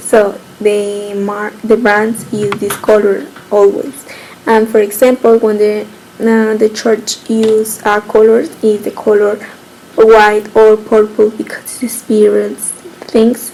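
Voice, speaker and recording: Noticeable background noise sits behind a woman with a fairly high pitch. Her intonation is monotone and flat, and her pace very slow. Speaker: student giving a class presentation. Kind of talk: recorded class presentation. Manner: halting.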